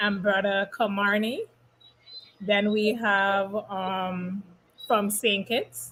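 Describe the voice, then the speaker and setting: Speaking at a very slow pace, a woman uses a strong Caribbean accent. Her pitch is medium. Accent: heavy Caribbean dialect. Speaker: youth ministry organizer. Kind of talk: casual chat.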